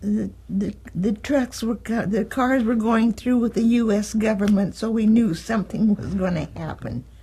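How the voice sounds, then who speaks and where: A woman with an American accent speaks at a fairly high pitch, somewhat breathy, in a dark, mellow tone with hardly any pauses. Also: moderate pace. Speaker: oral history interviewee. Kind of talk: oral history interview. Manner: halting, many fillers.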